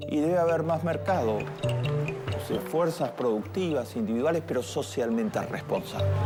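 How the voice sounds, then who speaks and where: Music plays behind a man's voice. He speaks at a fairly slow pace with lively intonation. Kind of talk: interview answer, expert commentary.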